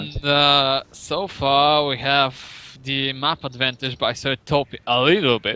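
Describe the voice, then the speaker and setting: A man with a non-native accent and fairly high pitch at a fairly slow pace, in a dry, close sound with no echo. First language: not English. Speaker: esports commentator. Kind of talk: live commentary. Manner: halting.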